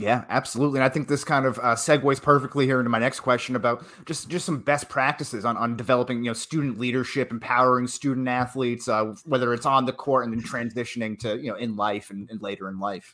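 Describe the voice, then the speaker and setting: Speaking very fast with hardly any pauses, a man has a Boston accent. His medium-pitched voice is bright and sharp, with fairly even intonation. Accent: thick Boston. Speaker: magazine editor and podcast host. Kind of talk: interview.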